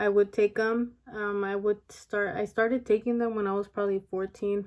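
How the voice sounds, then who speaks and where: A woman mumbles at a moderate pace, her medium-pitched voice held in a flat monotone. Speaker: beauty and weight loss vlogger. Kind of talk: casual vlog monologue. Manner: mumbling; hesitant with many fillers.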